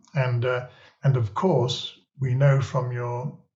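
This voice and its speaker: This man's voice sits at a medium pitch. It sounds somewhat breathy. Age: 70s. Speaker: podcast host. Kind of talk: interview conversation.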